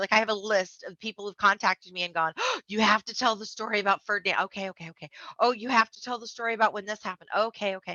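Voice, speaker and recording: A woman's very fast, animated delivery in an American accent, fairly high in pitch, with hardly any pauses and big swings in loudness. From Blue Ridge Mountains, US South. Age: 40s. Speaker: memoir author. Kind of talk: interview.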